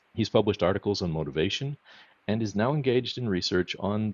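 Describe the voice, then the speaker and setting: A man talks at a fairly quick pace in an American accent. His intonation is lively, with vocal fry. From US, Boston. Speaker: podcast co-host. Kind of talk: podcast interview. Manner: reading introductions.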